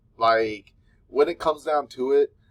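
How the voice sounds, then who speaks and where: A man with an American accent, dry and close with no echo. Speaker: mental health podcaster, social worker. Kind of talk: casual advice monologue. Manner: halting, filler-heavy.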